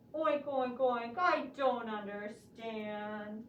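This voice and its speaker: A female-sounding, cartoonish character voice comes at a fairly high pitch and a very slow pace. A slight echo is present. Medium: puppet show. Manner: says oink before each line.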